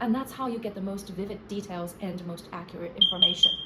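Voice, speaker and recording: A woman speaks with a Chinese accent. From China. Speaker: playwright, screenwriter and essayist. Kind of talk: casual talk to camera.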